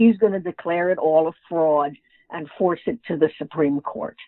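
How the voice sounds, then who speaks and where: A woman with an American accent speaks at a fairly slow pace. She has an unremarkable speaking voice. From New York. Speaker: author and humorist. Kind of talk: interview.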